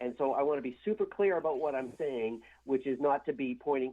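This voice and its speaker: Against a quiet background, a man talks fairly quickly in a fairly high pitch with ordinary pitch variation. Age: 60s. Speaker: heavy metal guitarist, former band member. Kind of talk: radio interview. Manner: halting, many repeated words and fillers.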